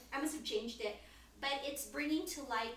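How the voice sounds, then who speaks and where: With audible room echo and noticeable background noise, a woman talks with lively intonation. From Philippines. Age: 40s. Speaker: poet. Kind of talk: casual chat.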